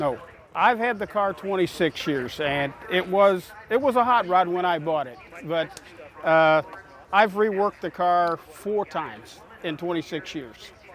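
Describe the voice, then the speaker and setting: Noticeable background noise surrounds a man who speaks at a fairly slow pace with a high pitch. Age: 60s. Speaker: car owner at a car show. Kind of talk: interview.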